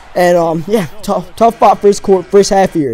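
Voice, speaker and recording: A man speaks at a fairly quick pace in an energetic tone with a high pitch, music playing in the background. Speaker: video game commentator / gamer. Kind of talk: casual gameplay commentary, talking over the game. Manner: energetic, conversational.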